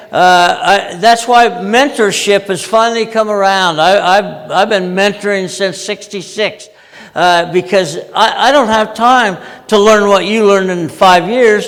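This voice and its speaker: Noticeable background noise and audible room echo surround a man speaking with an American accent. His voice is high, his intonation fairly even, and his pace fairly slow. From Utah, US. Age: 80s+. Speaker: project management veteran and conference speaker. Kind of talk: conference talk. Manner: many fillers and restarts.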